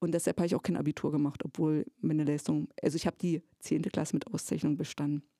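A woman's fairly low, dark and mellow voice moves with ordinary pitch variation, the sound dry and close with no echo. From eastern Germany, Jessen (Elbe-Elster area). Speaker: theatre educator. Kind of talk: casual interview chat.

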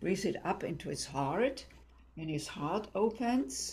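Using very wide pitch swings and vocal fry, a woman with a German accent speaks at a very slow pace. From Germany. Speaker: tantra and intimacy teacher. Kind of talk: interview.

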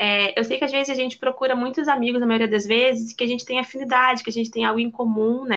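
A woman speaks at a high pitch with a Rio de Janeiro accent amid noticeable background noise. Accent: Brazilian Portuguese, carioca. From Rio de Janeiro, Brazil. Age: 20s. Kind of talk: casual chat.

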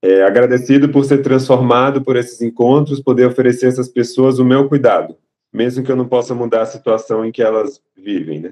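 A man speaks with fairly even intonation at a medium pitch. He has an ordinary speaking voice. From Salvador, Bahia, Brazil. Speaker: resident doctor. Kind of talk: casual chat.

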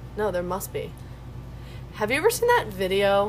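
Speaking at a moderate pace with an American accent, a woman is heard with audible room echo. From New York. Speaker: college student. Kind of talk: casual chat.

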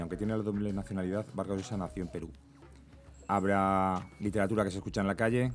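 A man's voice with music in the background. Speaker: podcast host. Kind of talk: casual chat.

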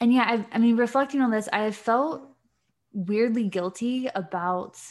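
A woman with an American accent in a normal speaking voice, moderate pace and ordinary pitch variation, on a very clean recording with a silent background. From Virginia, US. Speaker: podcast co-host. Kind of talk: casual chat.

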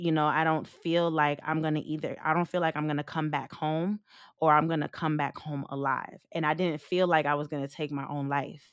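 A woman with a New York accent, very deep and low in pitch, fairly quick, monotone and flat, on a very clean recording with a silent background. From US Northeast (Long Island, New York). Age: 30s. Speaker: stripper and trafficking survivor. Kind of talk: testimony.

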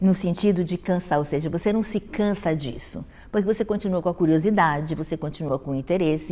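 A woman's voice has a dark, mellow tone at a medium pitch. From Brazil, Rio de Janeiro. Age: 70s. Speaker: dance critic and university professor. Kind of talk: interview monologue.

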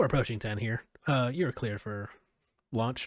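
Using a put-on character voice, a man speaks at a moderate pace and a medium pitch. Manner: calm, official.

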